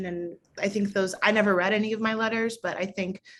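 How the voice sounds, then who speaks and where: At a moderate pace, a woman with a General American accent uses a normal speaking voice with fairly even intonation. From St. Louis, Missouri. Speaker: medical resident. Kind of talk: interview answer.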